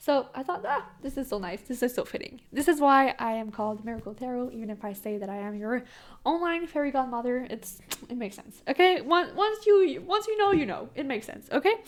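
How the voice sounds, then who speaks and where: A woman with a Quebec accent speaks at a high pitch and a fairly quick pace. Her pitch swings very widely. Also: big swings in loudness. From Quebec, Canada. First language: French. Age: young. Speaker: tarot reader and video creator. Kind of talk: casual talk to camera. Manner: fast; stumbles on words.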